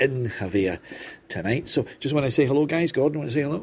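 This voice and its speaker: A man's somewhat breathy voice moves through ordinary pitch variation. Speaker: crime writer and reporter. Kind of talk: casual chat while drinking. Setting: roadside bar in Spain.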